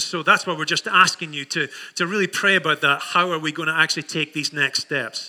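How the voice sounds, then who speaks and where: With a Scottish accent, a man talks at a fairly quick pace in a fairly high voice. His tone is bright and sharp, his intonation fairly even. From Scotland. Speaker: pastor. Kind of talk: sermon. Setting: church.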